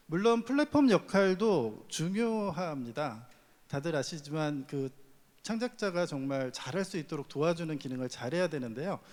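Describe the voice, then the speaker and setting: With lively intonation, a man in an ordinary speaking voice talks at a fairly slow pace and a fairly high pitch. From Chungcheong Province, Korea. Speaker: platform executive. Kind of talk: panel discussion.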